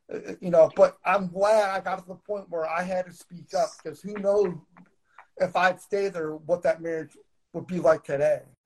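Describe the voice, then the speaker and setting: His loudness swings widely as the high-pitched man speaks at a moderate pace with fairly even intonation. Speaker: poet and author. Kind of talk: casual interview. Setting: live video stream. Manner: halting.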